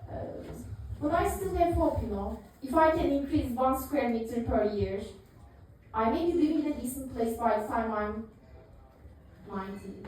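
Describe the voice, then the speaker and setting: With a Turkish accent, a woman speaks in a high pitch at a moderate pace, using lively intonation and long, frequent pauses, amid noticeable background noise and audible room echo. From Turkey. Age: 30s. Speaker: comedian. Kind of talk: stand-up. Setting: stage with audience. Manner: hesitant, many fillers.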